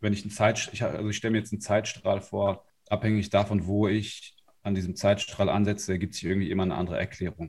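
Speaking at a very fast pace, a man with a fairly low pitch sounds somewhat breathy, his intonation monotone and flat. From northern Germany, Lower Saxony. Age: 30s. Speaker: life and business coach. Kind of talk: interview.

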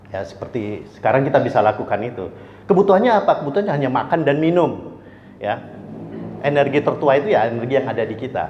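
Talking at a very fast pace, a man with a fairly high pitch and very wide pitch swings is heard with audible room echo and noticeable background noise. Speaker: energy expert speaker. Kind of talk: lecture. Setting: restaurant event with audience.

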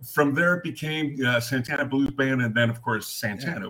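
Noticeable background noise fills the recording. Through it, a man talks with lively intonation. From San Francisco and Mexico. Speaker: entertainer and actor. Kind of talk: casual interview. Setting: video call from Mexico.

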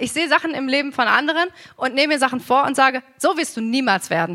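A woman talks at a fairly quick pace in a raised, projected voice. Her pitch is high. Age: 30s. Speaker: preacher. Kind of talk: sermon.

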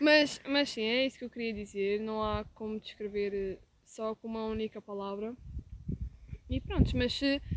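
A woman's fairly high-pitched voice in a European Portuguese accent, with fairly even intonation and a moderate pace, over noticeable background noise. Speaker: podcast co-host. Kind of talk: casual chat.

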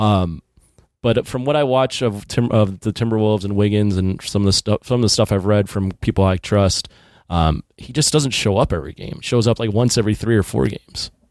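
In a very clean recording with a silent background, a man with an ordinary speaking voice talks at a fairly quick pace, his pitch fairly low with ordinary pitch variation. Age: 30s. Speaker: podcast host. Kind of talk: casual chat.

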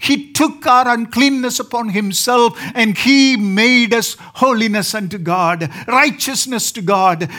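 The voice is raised and projected, moving at a very slow pace with hardly any pauses. Pitch varies in an ordinary way, and background noise is noticeable. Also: man, extremely high pitch for a man. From southern India. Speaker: preacher. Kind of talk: sermon. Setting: church.

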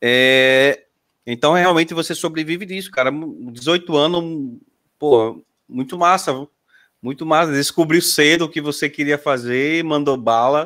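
A man speaks at a fairly slow pace and a fairly high pitch, with ordinary pitch variation. His tone is bright and sharp, and the recording is very clean with a silent background. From Sergipe, Brazil. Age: 30s. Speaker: podcast host. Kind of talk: casual chat. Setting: live stream.

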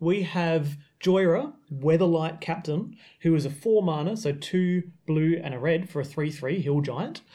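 Speaking with an Australian accent, a man uses a high pitch with ordinary pitch variation. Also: fairly slow pace. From South Australia. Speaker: podcast host and committee member. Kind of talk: casual chat podcast discussion.

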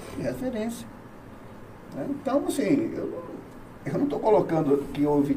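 A man talks at a moderate pace, his pitch swinging very widely, with audible room echo and noticeable background noise around him. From Bahia, Brazil (Salvador). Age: 50s. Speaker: businessman and former hospital manager. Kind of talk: interview chat on local politics.

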